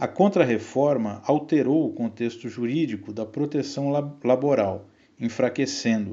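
This man has a plain, everyday voice with a medium pitch. He speaks at a fairly slow pace with ordinary pitch variation. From Brazil, São Paulo. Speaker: economist and union adviser. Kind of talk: scripted narration. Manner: formal.

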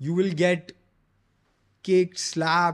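In a very clean recording with a silent background, a man speaks in a high voice. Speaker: entrepreneur. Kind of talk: interview. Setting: in person.

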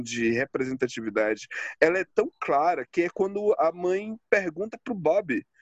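High-pitched, a man talks at a fairly slow pace. The sound is dry and close, without echo. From Brazil, Northeast. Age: 30s. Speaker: podcast host. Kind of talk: casual chat.

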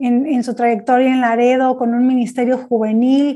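On a very clean recording with a silent background, a woman speaks in a high pitch with a dark, mellow tone and monotone, flat intonation. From Mexico. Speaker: podcast host, church services company staff. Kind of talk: interview; promotional closing. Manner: halting, repeats words.

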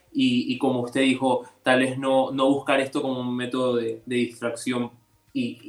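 A man speaks at a moderate pace and medium pitch. His intonation is monotone and flat, with noticeable background noise around him. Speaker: youth panel moderator. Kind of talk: radio panel discussion. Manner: halting, repeats words.

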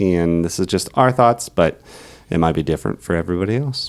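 On a very clean recording with a silent background, a man with a very deep, low pitch speaks at a moderate pace with lively intonation. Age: 40s. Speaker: podcast host and travel agent. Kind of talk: casual family chat.

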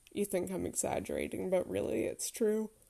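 A woman puts on a character voice that sounds raspy. She moves along at a fairly quick pace.

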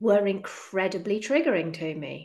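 A woman speaks in a dark, mellow tone. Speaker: podcast host and eating disorder coach. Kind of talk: podcast interview. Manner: halting, stumbling over words.

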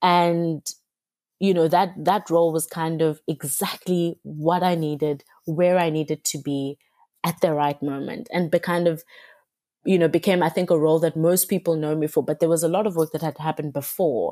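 A woman with a fairly low pitch and a dark, mellow tone speaks at a moderate pace with fairly even intonation. The recording is very clean and dry, close with no echo and a silent background. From South Africa, Cape Town. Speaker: magazine editor. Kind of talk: interview. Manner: hesitant, many fillers.

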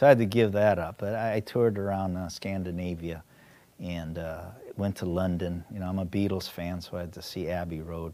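Fairly quick and fairly even in intonation, a man speaks with a very deep, low pitch and a dark, mellow tone. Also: big swings in loudness. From Korean-American, raised in the US. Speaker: adventurer and diver. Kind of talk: storytelling interview. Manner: halting, many fillers.

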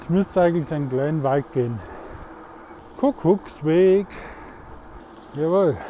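The speaker talks at a fairly slow pace in a Swabian accent, with lively intonation and long, frequent pauses. Noticeable background noise runs underneath. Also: man, fairly high pitch for a man. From Swabia, Germany. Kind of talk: casual monologue. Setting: outdoors, riding a mountain bike.

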